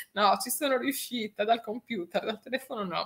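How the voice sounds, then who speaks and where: A woman with ordinary pitch variation at a moderate pace. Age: 50s. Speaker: radio DJ. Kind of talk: casual chat. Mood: cheerful, joking. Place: home room.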